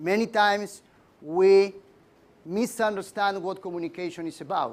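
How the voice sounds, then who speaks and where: A man's high pitch moves with ordinary variation. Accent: Spanish. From Argentina. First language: Spanish. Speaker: leadership trainer. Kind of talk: lecture. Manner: halting.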